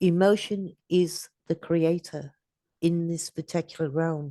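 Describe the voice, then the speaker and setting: A woman speaks in a dark, mellow tone with monotone, flat intonation. The background is quiet. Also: dry, close sound with no echo. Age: 60s. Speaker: astrology podcast host. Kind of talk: casual chat.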